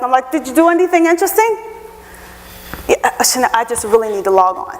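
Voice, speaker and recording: Noticeable background noise sits behind a high-pitched woman who talks very fast with very wide pitch swings. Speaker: HR professional, guest speaker. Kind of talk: lecture. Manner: animated.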